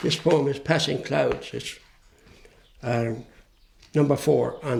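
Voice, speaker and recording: A man speaks at a fairly slow pace with an Irish accent. Noticeable background noise runs behind him. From Ireland. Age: 70s. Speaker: poet. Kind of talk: interview answer.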